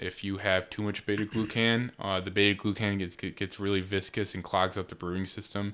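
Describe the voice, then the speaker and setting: Fairly low-pitched yet bright and sharp in tone, a man with an American accent speaks fairly quickly in a monotone, flat delivery with hardly any pauses. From western New York. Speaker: barley researcher. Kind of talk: casual chat.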